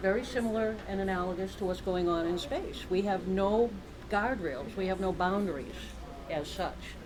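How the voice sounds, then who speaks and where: In an American accent, a woman speaks at a medium pitch and a moderate pace with ordinary pitch variation, amid audible room echo and noticeable background noise. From Boston. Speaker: keynote speaker, cybersecurity academic. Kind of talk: conference keynote. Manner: animated.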